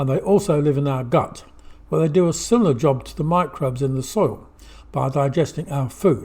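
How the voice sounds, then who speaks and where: A man with a fairly high pitch and a dark, mellow, somewhat breathy tone speaks at a moderate pace with ordinary pitch variation. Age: 80s+. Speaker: talking book narrator on gut and soil microbes. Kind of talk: reading aloud.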